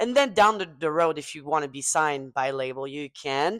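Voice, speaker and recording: Fairly quick speech in a French accent on a very clean recording with a silent background. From southwest France. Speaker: pop singer and podcast host. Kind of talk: casual chat. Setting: studio table with guests over wine. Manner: halting, searching for words.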